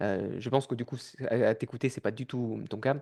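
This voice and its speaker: A man at medium pitch and moderate pace, with a dry, close sound, no echo and a quiet background. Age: 30s. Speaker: podcast host. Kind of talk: podcast interview. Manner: casual, hesitant.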